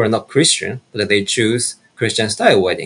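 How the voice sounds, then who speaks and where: Speaking with a Japanese accent, a man has a medium pitch and a bright, sharp tone. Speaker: minister. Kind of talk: testimony.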